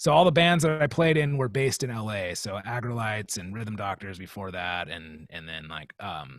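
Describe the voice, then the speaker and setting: With a Californian accent, a man speaks at a moderate pace in a fairly low pitch, with hardly any pauses. His pitch swings very widely, and the recording is very clean with a silent background. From Southern California (Long Beach, Riverside County). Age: 40s. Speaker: drummer. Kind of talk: casual chat.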